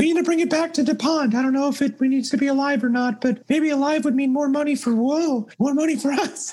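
A put-on character voice with high pitch. It moves at a very fast pace. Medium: actual play. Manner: practical, slightly exasperated.

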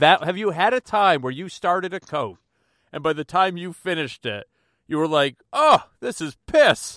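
A high-pitched man speaks at a moderate pace in a bright, sharp tone, with lively intonation and big swings in loudness. The recording is very clean and dry, close with no echo and a silent background. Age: 40s. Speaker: podcast host. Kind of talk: casual chat.

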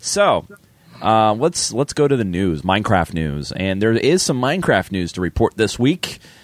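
A raspy man talks at a moderate pace, his pitch swinging very widely. The sound is dry and close with no echo, with music in the background. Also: fairly low pitch for a man. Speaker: gaming podcast co-host. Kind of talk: casual chat with gameplay commentary.

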